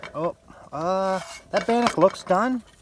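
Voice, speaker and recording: A man speaks at a fairly slow pace. The sound is dry and close with no echo, though there is noticeable background noise. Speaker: outdoor vlogger. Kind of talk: casual vlog narration. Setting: outdoors.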